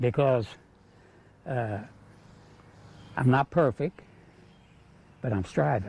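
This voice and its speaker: A man talks at a fairly slow pace in a medium pitch. His tone is dark and mellow, and somewhat breathy. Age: 80s+. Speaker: retired coal miner and pastor. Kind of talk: interview answer.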